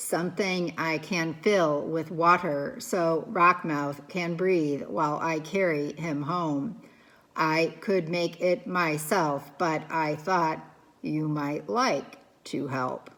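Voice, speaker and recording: At a very slow pace, a woman uses a put-on character voice with a fairly low pitch. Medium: read story. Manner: calm, measured.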